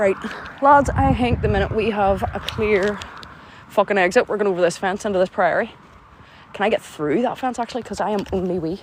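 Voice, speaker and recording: The speech moves at a fairly quick pace, broken by long, frequent pauses, with noticeable background noise. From Northern Ireland, County Antrim. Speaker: livestreamer exploring graveyards. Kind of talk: live stream casual chat. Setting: outdoors at night in a graveyard. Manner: animated.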